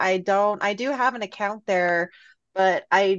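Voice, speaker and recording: A woman with a normal speaking voice talks at a moderate pace and medium pitch. Her intonation is fairly even, with a quiet background. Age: 40s. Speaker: podcaster and fan group admin. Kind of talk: casual chat.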